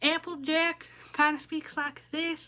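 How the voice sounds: Putting on a character voice, a woman speaks fairly slowly in an extremely high, squeaky tone with flat, monotone intonation.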